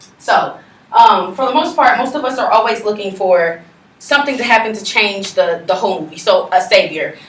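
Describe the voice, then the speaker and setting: A woman talks at a fairly quick pace in a fairly high pitch, with lively intonation and an animated tone. Audible room echo surrounds her voice. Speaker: college student presenter. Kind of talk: class presentation. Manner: fast.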